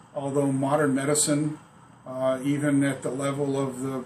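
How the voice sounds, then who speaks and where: Audible room echo surrounds a man speaking fairly slowly at a fairly high pitch with fairly even intonation. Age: 60s. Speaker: patient. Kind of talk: testimony. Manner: halting, many fillers.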